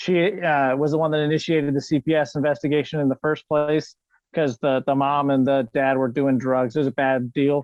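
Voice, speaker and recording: A man's fairly high voice, fairly quick in pace, monotone and flat, with very even loudness. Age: 30s. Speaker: podcast guest, foster and adoptive father. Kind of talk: casual chat.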